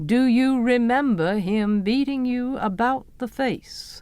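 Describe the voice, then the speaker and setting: Putting on a character voice, a woman speaks high-pitched at a fairly slow pace. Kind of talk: dry, detached, professional.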